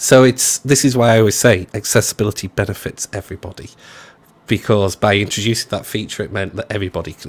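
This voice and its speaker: A man's fairly low, somewhat breathy voice moves at a fairly quick pace. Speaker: web accessibility developer. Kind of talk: casual chat. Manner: fast; animated.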